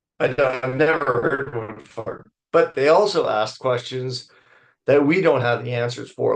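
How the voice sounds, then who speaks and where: Against a quiet background, a man with a plain, everyday voice talks at a medium pitch with ordinary pitch variation. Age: 60s. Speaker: wildlife biologist. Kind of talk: lecture. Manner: casual.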